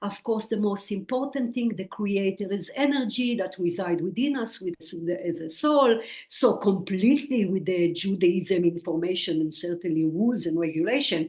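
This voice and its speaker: Against noticeable background noise, a woman with a medium-pitched voice and lively intonation talks at a moderate pace, with hardly any pauses. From Israel. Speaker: spiritual medium and author. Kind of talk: interview.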